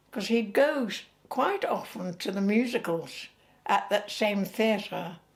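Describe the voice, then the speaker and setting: A woman speaks with an English accent at a fairly slow pace. Her pitch varies in an ordinary way. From England. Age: 90s. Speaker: retired actress. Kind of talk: interview. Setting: at home. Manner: halting.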